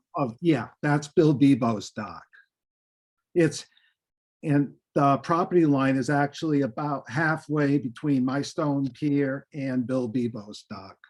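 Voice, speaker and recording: A man talks at a very slow pace. His pitch shows ordinary variation. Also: fairly high pitch for a man. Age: 70s. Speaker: property owner applicant. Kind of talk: public meeting testimony. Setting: video call. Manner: halting.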